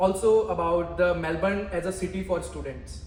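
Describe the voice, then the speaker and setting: Both audible room echo and noticeable background noise come through in this recording. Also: man. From India. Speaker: student vlogger. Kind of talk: casual interview chat.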